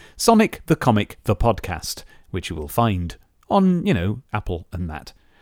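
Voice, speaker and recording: A man with a British accent speaks at a moderate pace and a fairly low pitch. The recording is very clean, with a silent background. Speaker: podcast host. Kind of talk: casual chat.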